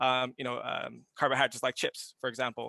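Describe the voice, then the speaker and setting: A man's medium-pitched voice with vocal fry and a bright, sharp tone, at a fairly quick pace, in a dry, close sound with no echo against a quiet background. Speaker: CTE instructor and clinician. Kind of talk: panel discussion. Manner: fast.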